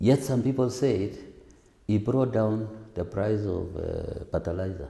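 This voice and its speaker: A man's fairly low, dark and mellow voice, somewhat breathy, with ordinary pitch variation. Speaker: parliamentary aspirant. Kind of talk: interview answer. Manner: soft-spoken.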